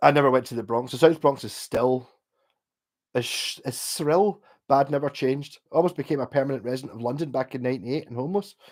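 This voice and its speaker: A man with a Glasgow accent, very fast delivery, medium pitch, big swings in loudness, and a very clean recording over a silent background. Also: ordinary pitch variation. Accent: posh Glasgow. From Scotland, Glasgow. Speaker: livestreamer and guitarist. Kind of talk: casual chat. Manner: clearer than his friends.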